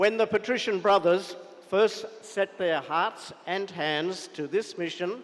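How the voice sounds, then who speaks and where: Speaking very slowly with an Australian accent, a man uses ordinary pitch variation. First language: not Tamil. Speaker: chief guest speaker at school celebration. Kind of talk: formal speech. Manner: formal.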